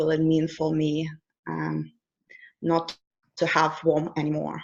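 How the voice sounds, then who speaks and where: A woman speaks with a Russian accent. Her pitch is very deep and low. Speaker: life coach. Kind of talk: interview.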